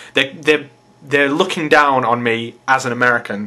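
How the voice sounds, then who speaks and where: This man has an English accent. His pitch sits fairly high. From England. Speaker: video blogger. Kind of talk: vlog rant. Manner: animated.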